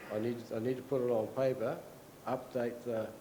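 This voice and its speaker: Amid noticeable background noise and audible room echo, a man with an Australian accent speaks at a medium pitch in a monotone, flat way. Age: 60s. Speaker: retired dairy farmer. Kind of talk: conference talk. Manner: halting.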